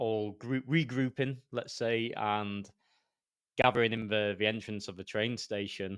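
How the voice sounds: Speaking in a Yorkshire accent, a man keeps a moderate pace and a medium pitch with ordinary pitch variation. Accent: Yorkshire, Northern English.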